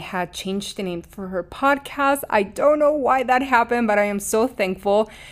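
Hardly pausing, a woman with a Mexican accent speaks with ordinary pitch variation on a very clean recording with a silent background. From Mexico. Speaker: podcast host, spiritual coach. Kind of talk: scripted intro then casual personal monologue. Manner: warm, earnest, emotive.

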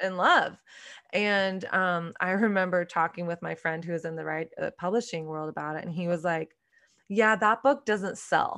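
A woman's medium-pitched voice with an American accent, bright and sharp in tone, at a moderate pace with ordinary pitch variation, over a quiet background. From Texas, Dallas. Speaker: author and podcaster. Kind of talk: casual interview chat.

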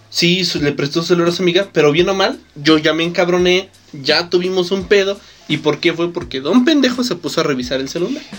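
Noticeable background noise accompanies fairly quick speech with ordinary pitch variation. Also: man, high pitch for a man. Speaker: podcast co-host. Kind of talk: casual chat. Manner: animated.

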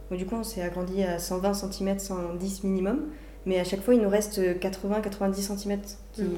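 Noticeable background noise and audible room echo surround a woman who speaks slowly, fairly so, at a medium pitch with monotone, flat intonation. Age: 20s. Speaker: student entrepreneur. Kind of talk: casual interview. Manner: halting.

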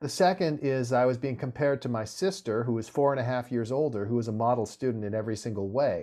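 Speaking at a very fast pace, a man with an American accent has a dark, mellow tone and ordinary pitch variation. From US West Coast (Santa Monica, California). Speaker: venture capitalist and author. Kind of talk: interview.

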